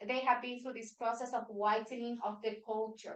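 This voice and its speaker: At a moderate pace, a woman with a Spanish accent speaks at a fairly high pitch with ordinary pitch variation. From Venezuela. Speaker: workshop facilitator. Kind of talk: workshop presentation. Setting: meeting room with hybrid online audience.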